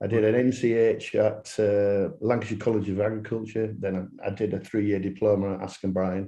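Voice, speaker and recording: With a Yorkshire accent, a man speaks at a moderate pace. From northern England, Yorkshire. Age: 60s. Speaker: landscaping business owner. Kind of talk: podcast interview.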